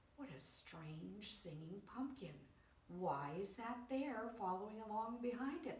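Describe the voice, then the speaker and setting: A woman's put-on character voice, fairly high in pitch, at a fairly slow pace with a slight echo. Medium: read story.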